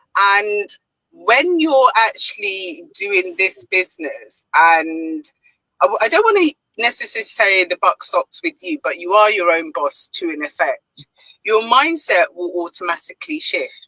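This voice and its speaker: In a British accent, a woman talks at a fairly slow pace, the sound dry and close with no echo. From Ghana. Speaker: online business owner and mentor. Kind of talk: live panel discussion.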